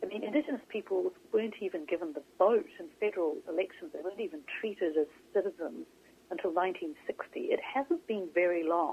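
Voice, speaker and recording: A woman with a New Zealand accent speaks at a fairly quick pace. Her medium-pitched voice has lively intonation. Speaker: author and journalist. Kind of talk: interview. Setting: phone call.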